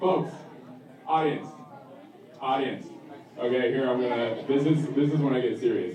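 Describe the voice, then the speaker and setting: With audible room echo, a man at a fairly high pitch speaks at a very even loudness, leaving long, frequent pauses. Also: ordinary pitch variation, moderate pace. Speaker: event host. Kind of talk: event emcee introduction. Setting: stage with audience.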